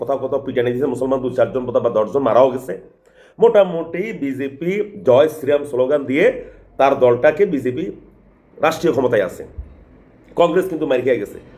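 Fairly high in pitch, a man speaks in a dark, mellow tone. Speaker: political commentator. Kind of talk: political monologue.

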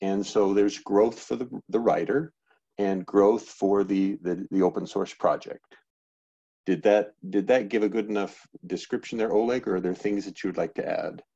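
A man's plain, everyday voice, fairly low in pitch, at a moderate pace with fairly even intonation over a quiet background. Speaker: open-source project maintainer. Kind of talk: online project meeting. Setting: video call. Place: home room. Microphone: headset.

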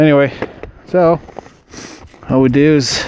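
Slowly and with fairly even intonation, a man speaks at a fairly high pitch in a clear, smooth, slightly mellow tone.

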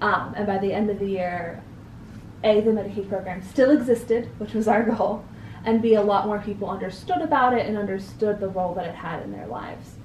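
At a fairly quick pace, a woman with medium pitch and ordinary pitch variation speaks with big swings in loudness, audible room echo and light background noise. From US Northeast, New Hampshire. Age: young. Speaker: interview guest. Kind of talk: interview. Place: home room.

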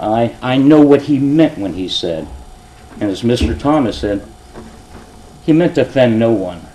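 Very wide pitch swings mark a man's speech at a moderate pace. Noticeable background noise sits behind him. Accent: American. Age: 60s. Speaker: retired police officer speaking at public meeting. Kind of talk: public comment at council meeting. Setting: council chambers with audience.

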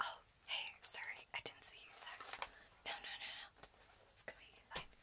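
Whispering, a woman speaks at a moderate pace. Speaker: ASMR creator playing a brow artist. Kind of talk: ASMR roleplay, brow appointment, soft friendly talk. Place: home room. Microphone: phone near.

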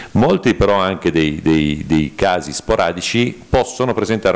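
Over noticeable background noise, a man speaks at a fairly quick pace with a very deep, low pitch. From Piedmont, Italy. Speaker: neurologist. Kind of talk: conference talk. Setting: conference hall with audience.

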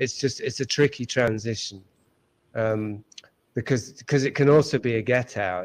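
Here a man talks at a moderate pace and a medium pitch, with ordinary pitch variation. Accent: English. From England. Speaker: author. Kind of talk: interview. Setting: video call.

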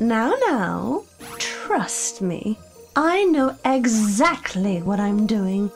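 A put-on character voice at a very slow pace, with clear music in the background. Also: woman, fairly high pitch for a woman. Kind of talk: comic overacting. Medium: machinima. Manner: posh, theatrical, dismissive and condescending.

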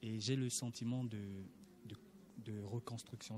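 Speaking at a fairly slow pace, a man with a fairly low pitch delivers his words in a monotone, flat intonation, sounding somewhat breathy. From Gabon. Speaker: student attending church session. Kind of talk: interview answers, testimony.

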